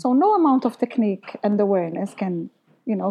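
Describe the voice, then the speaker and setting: Lively intonation from a woman with a fairly high pitch and an ordinary speaking voice. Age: 30s. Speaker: singer and voice teacher. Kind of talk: casual interview.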